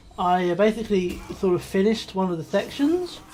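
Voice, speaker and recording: A woman with a Scottish accent, medium in pitch, with ordinary pitch variation and a moderate pace. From Scotland. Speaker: gaming YouTuber. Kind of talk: let's play commentary. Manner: animated.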